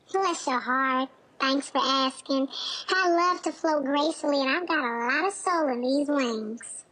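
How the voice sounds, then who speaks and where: A high, female-sounding put-on character voice in a Southern US accent at a moderate pace. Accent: Southern American. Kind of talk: short playful TV banter. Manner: warm, gracious.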